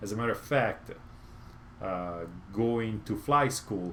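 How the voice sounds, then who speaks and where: A medium-pitched man with an Italian accent and ordinary pitch variation, with audible room echo. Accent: Italian accent, noticeable. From Italy, Rome. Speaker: motorcycle YouTuber. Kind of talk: live stream Q&A chat. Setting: home garage. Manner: halting, many fillers.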